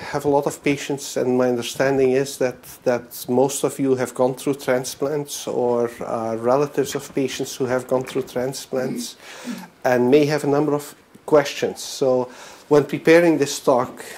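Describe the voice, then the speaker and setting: Noticeable noise sits behind a man speaking at a medium pitch. His intonation is monotone and flat, his pace fairly slow. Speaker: physician. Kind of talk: lecture. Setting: presentation to an audience. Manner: halting, many fillers.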